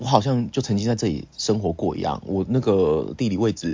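A quiet man, fairly low-pitched, at a fairly quick pace with ordinary pitch variation. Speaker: podcast co-host. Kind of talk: casual chat. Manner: animated; quiet this time.

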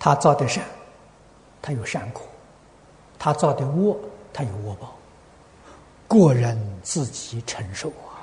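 A man with a fairly high voice speaks at a fairly slow pace, sounding somewhat breathy with lively intonation. His loudness swings widely, and he takes long, frequent pauses. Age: old. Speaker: Buddhist teacher answering questions. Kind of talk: dharma talk answering questions.

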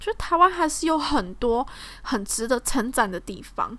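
A woman speaks at a fairly slow pace in a Taiwanese accent, her high pitch swinging very widely. Her raised, projected voice has a bright, sharp tone. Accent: Taiwanese Mandarin. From Taiwan, Tainan. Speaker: podcast host. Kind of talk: casual solo podcast talk.

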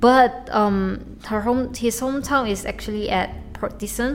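A woman with a Chinese accent, lively intonation and a fairly slow pace, music playing in the background. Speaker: podcaster. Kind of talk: casual solo monologue. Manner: halting, many repetitions and fillers.

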